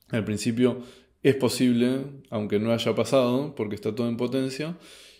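Against a quiet background, a man talks at a fairly slow pace in a dark, mellow tone. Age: 30s. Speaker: YouTube host commenting on philosophy books; philosophy commentator. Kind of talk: book review monologue. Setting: at home in his apartment at night. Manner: hesitant, many filler sounds. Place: home room.

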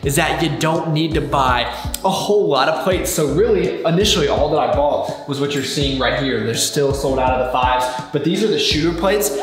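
Clear music plays in the background as a man speaks at a fairly quick pace with very even loudness and audible room echo. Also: ordinary pitch variation. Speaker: fitness vlogger. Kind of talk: casual vlog chat. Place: garage.

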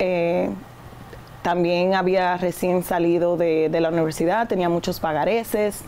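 A woman speaks at a fairly slow pace in a fairly low voice with monotone, flat intonation. Her loudness stays very even over light background noise. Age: 30s. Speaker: real estate agent and investor; guest. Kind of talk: interview. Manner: hesitant fillers. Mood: earnest, reflective. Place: studio.

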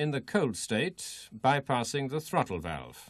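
At a fairly slow pace, a man speaks at medium pitch with vocal fry over a quiet background. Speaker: training film narrator. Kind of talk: vintage technical training film narration, scripted. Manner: formal; measured, even, step-by-step instructional delivery.

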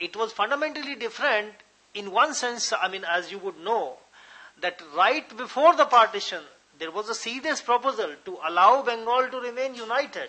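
A man speaks at a moderate pace in an extremely high pitch. His intonation is lively, with big swings in loudness. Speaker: lecture moderator. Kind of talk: introduction and moderating Q&A. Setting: lecture hall with live audience. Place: hall. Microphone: podium.

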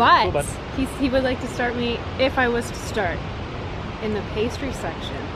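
A woman speaks at a moderate pace with ordinary pitch variation. The sound is dry with no echo, and background noise is noticeable. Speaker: vlogger. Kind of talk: casual vlog chat. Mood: cheerful, recounting job interview. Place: forest. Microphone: phone near.

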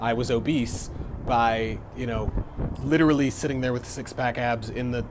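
A man speaks at a moderate pace while noticeable background noise continues behind him. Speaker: fitness vlogger. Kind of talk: casual vlog chat. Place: home room. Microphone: earbuds.

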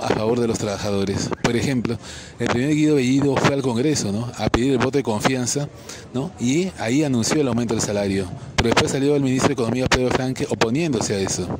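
A man's very fast speech at medium pitch, with ordinary pitch variation and noticeable background noise. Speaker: political commentator. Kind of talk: video commentary monologue.

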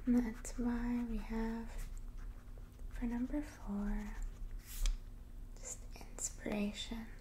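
At a very slow pace with long, frequent pauses, a woman speaks over light background noise. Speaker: ASMR creator. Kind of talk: casual guided gratitude practice while writing and drawing. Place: home room.

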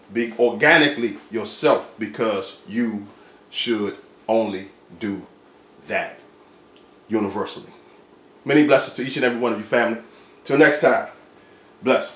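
Animated tone from a man at a moderate pace, with ordinary pitch variation, long, frequent pauses and audible room echo. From Washington DC. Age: 40s. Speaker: vlogger; fashion vlogger. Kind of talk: casual vlog. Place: home room. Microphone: phone near.

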